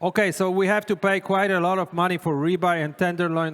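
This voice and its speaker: In a very clean recording with a silent background, a man with a Polish accent talks at a high pitch. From Poland. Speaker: chef giving a cooking demonstration. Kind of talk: live cooking demonstration.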